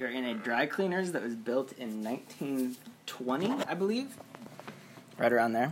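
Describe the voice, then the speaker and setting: A man speaks fairly slowly with a Midwestern US accent at medium pitch. His intonation is lively, with noticeable background noise behind him. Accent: US Midwest. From Iowa. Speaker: dry cleaner owner. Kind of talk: casual chat. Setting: old dry cleaners building.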